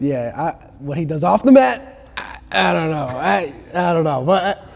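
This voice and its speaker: The voice moves through very wide pitch swings at a moderate pace. Noticeable background noise is present. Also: man, fairly high pitch for a man. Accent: American. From Chicago area, US Midwest. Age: 20s. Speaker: martial arts student. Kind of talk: casual chat.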